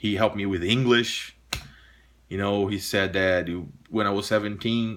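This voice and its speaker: In a very clean recording with a silent background, a man with a fairly low pitch and a bright, sharp tone speaks at a moderate pace in a monotone, flat intonation. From Brazil, São Paulo countryside. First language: Portuguese. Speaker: pipe smoking vlogger and jazz guitarist. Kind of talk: casual monologue to camera. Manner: halting, many false starts.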